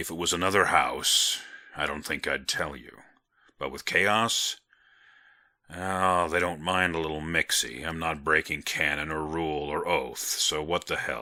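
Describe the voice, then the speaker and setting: A man puts on a raspy character voice, very deep and low in pitch, speaking at a moderate pace with fairly even intonation. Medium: read story. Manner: gentle, amused, hesitant fillers.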